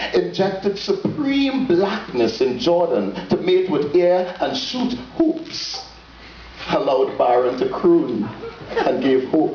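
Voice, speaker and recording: Over noticeable background noise, a man with a Trinidadian accent talks at a very slow pace. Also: very even loudness. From Trinidad and Tobago. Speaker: poet. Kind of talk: dramatic spoken word poetry reading.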